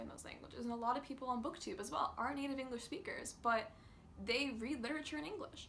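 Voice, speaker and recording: A woman's high voice at a very fast pace, with audible room echo. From North America. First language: Russian. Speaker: booktuber. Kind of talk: casual vlog talk.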